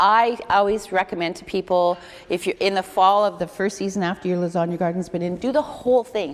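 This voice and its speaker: A woman talks in an ordinary speaking voice at a medium pitch. She moves at a fairly quick pace with ordinary pitch variation. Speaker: community food program worker. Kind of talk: lecture.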